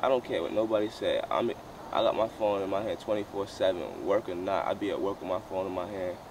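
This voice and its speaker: A man at a fairly quick pace, dry sound with no echo, noticeable background noise. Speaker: vlogger. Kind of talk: casual vlog chat. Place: open country.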